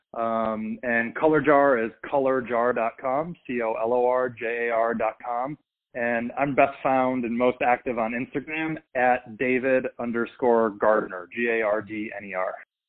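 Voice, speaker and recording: A man at a medium pitch and fairly slow pace, in an ordinary speaking voice with fairly even intonation. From US Midwest, Minnesota. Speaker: brand strategy firm founder and podcast host. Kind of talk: interview.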